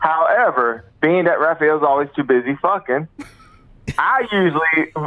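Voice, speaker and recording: With noticeable background noise behind it, the talking proceeds at a moderate pace. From US South. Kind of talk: casual banter.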